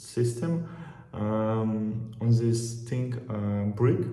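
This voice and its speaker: At a very slow pace, a man talks at medium pitch in a monotone, flat intonation. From Russia. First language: Russian. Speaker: travel vlogger. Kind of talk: casual talk to camera. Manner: hesitant, many filler pauses.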